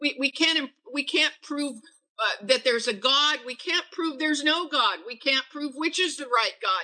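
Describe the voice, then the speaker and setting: Raised and projected, a woman's high-pitched voice has a bright, sharp tone, ordinary pitch variation and a moderate pace. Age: 60s. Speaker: author and futurist. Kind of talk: casual interview. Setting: video call.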